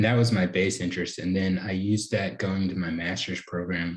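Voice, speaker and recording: At a moderate pace, a man with an American accent talks in a fairly low pitch, an ordinary speaking voice. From North Carolina, US South. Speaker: cognitive science PhD student. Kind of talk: podcast interview.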